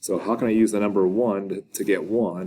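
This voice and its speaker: This man speaks at a fairly low pitch. His tone is dark and mellow. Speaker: math teacher. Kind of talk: lecture. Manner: casual.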